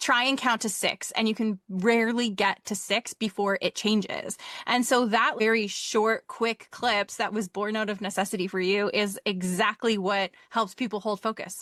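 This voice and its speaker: With a fairly high pitch, a woman speaks at a moderate pace with hardly any pauses and fairly even intonation. Hers is an unremarkable speaking voice, recorded with a dry, close sound with no echo. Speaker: podcast host. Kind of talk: interview.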